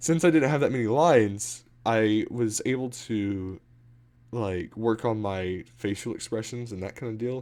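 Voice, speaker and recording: On a very clean recording with a silent background, the voice moves at a moderate pace with ordinary pitch variation. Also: man. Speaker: gamer livestreamer. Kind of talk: casual chat. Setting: livestream from game room. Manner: loud, projecting voice; speaking softly.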